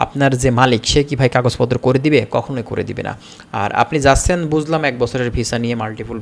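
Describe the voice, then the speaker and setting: With noticeable background noise, a man speaks in a fairly even intonation. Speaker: YouTube visa-information presenter. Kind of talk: informational video talk to viewers.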